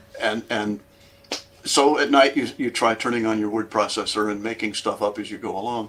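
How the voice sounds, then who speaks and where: There is noticeable background noise as a man speaks at a moderate pace. His pitch is medium and his intonation fairly even. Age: 60s. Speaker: songwriter. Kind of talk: casual chat.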